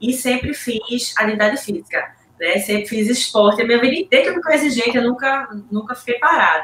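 There is noticeable background noise as a woman talks at a fairly quick pace. Her high voice has lively intonation. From Pernambuco, Brazil. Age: 40s. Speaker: triathlete. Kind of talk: interview.

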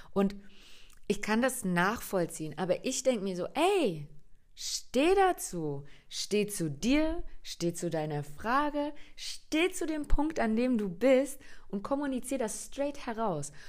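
A woman speaks very slowly at a fairly high pitch, her voice swinging very widely, in a very clean recording with a silent background. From Germany, Hungarian family. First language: Hungarian (speaking German). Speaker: podcast host, coach. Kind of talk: solo podcast monologue. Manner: animated.

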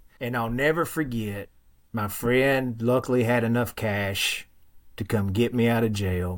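A man speaks at a moderate pace with a strong Western Kentucky accent and fairly even intonation. The recording is very clean, with a silent background. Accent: thick Western Kentucky. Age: 40s. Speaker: former Marine and firefighter, fitness coach. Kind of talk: personal testimony in interview.

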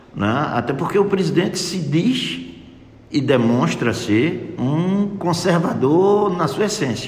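A man speaks at a very slow pace with a high pitch and lively intonation. Noticeable background noise and audible room echo surround him. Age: 60s. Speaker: physician and conservative party politician. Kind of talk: radio interview.

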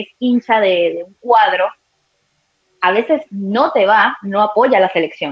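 This woman has an ordinary speaking voice with lively intonation. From Venezuela. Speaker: sports journalist. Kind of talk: live sports talk show.

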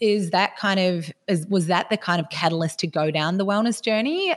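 Moderate pace with an Australian accent. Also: woman. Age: 30s. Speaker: podcast host and personal trainer. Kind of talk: interview.

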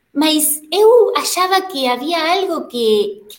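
A woman's voice swings very widely in pitch. Audible room echo surrounds it. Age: 50s. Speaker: Pilates instructor and studio owner. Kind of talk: interview.

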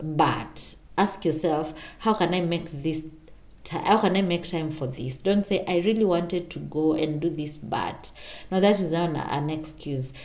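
Amid noticeable background noise, a woman sounds animated at a fairly slow pace, her fairly low pitch showing ordinary variation. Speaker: podcast host. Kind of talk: pep talk. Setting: solo podcast. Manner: animated, encouraging; direct, motivational.

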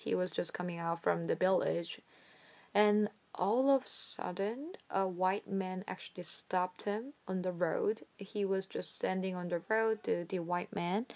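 Speaking at a fairly slow pace, a woman with a Korean accent uses a medium pitch and ordinary pitch variation. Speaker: podcaster. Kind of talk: solo podcast monologue. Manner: hesitant, many fillers.

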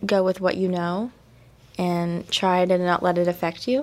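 A woman speaks quietly at a medium pitch. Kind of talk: interview on live campus radio. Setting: radio studio.

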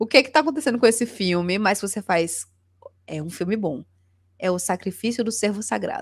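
With lively intonation and big swings in loudness, a woman talks at a fairly quick pace and medium pitch in a very clean recording with a silent background. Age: 30s. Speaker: streamer and cultural journalist. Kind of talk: casual chat. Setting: live video stream.

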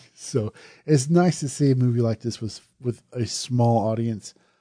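A man with an American accent at a medium pitch and moderate pace, ordinary pitch variation, a dark, mellow tone, and a dry, close sound with no echo over a quiet background. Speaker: horror podcast host and reviewer. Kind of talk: podcast movie review, casual. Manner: conversational, self-deprecating.

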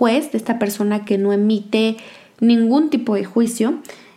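A woman's fairly high-pitched, dark, mellow voice, fairly slow in pace with fairly even intonation. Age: 20s. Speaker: podcast host. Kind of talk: monologue podcast.

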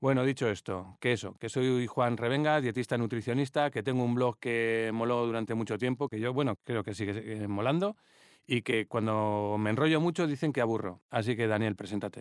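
Recorded very cleanly against a silent background, a plain, everyday voice speaks at a moderate pace with ordinary pitch variation and a dry, close sound with no echo. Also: man, medium pitch for a man. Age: 50s. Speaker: dietitian-nutritionist. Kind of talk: casual chat.

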